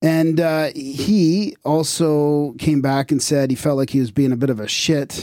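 A man with a fairly high pitch and an unremarkable speaking voice talks at a fairly slow pace with ordinary pitch variation. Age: 30s. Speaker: podcast co-host. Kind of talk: casual chat.

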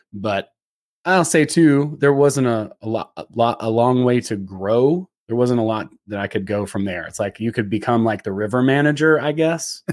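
At a moderate pace, a man uses a normal speaking voice with lively intonation. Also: medium pitch for a man, very clean recording, silent background. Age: 40s. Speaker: former adventure guide, comedian. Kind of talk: casual interview chat.

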